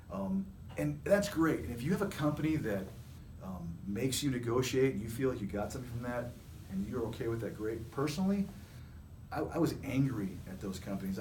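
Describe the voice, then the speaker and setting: Through noticeable background noise and audible room echo, a man with a medium-pitched voice talks at a very fast pace with lively intonation. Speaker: staffing agency CEO. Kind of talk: casual chat. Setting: video recording. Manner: animated.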